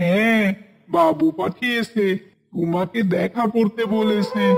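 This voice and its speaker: A man's cartoonish character voice, high-pitched and very slow. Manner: curt, matter-of-fact.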